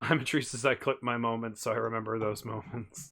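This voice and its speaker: On a very clean recording with a silent background, a man with an Ohio accent speaks in a medium pitch with a bright, sharp tone. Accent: Ohio accent, drops R's and T's. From Ohio, US Midwest. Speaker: streamer. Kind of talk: live stream chat.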